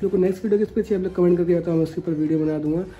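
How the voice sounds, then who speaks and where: Over faint background music, the speech runs at a very fast pace in a flat monotone. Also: man. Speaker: vlogger. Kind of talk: casual vlog chat.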